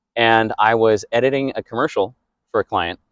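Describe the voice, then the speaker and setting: A man with a medium-pitched voice is heard against a quiet background, the sound dry and close with no echo. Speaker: voice over actor. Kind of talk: interview answer. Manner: personable, upbeat, conversational.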